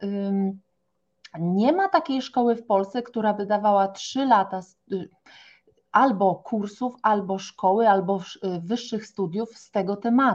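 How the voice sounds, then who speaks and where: Here a woman talks at a very slow pace. Her pitch is medium and varies in an ordinary way. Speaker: naturopath. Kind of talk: podcast interview. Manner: animated.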